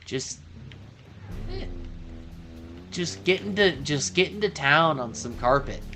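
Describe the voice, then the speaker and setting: With music in the background, a man speaks at a fairly slow pace, leaving long, frequent pauses, his pitch swinging very widely and his loudness shifting a great deal. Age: 30s. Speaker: gaming livestreamer. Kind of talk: casual chat. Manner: halting.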